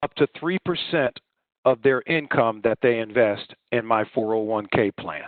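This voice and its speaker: The pace of this man's speech is fairly slow. He varies his pitch in an ordinary way. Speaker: insurance and financial services agent. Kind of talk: financial seminar presentation. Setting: online video call. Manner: high energy, passionate.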